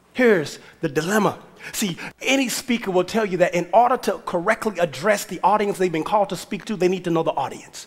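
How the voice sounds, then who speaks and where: A man with a high pitch speaks in an animated tone at a fairly quick pace, with ordinary pitch variation. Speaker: pastor. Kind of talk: sermon. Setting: church with congregation. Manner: animated, exhorting the congregation; conversational, preacherly call-and-response. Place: church. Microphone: headset.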